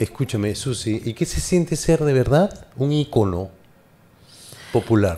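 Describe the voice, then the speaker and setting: Somewhat breathy and dark, mellow in tone, a man talks at a fairly slow pace with very wide pitch swings. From Peru, Lima (Barranco). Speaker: interview show host. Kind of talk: casual interview. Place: studio. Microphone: studio mic.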